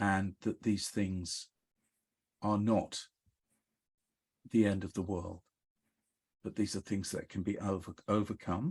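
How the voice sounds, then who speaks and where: A man with fairly low pitch speaks monotone and flat at a fairly slow pace, leaving long, frequent pauses, in a very clean recording with a silent background and a dry, close sound with no echo. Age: 70s. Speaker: psychotherapist. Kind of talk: interview.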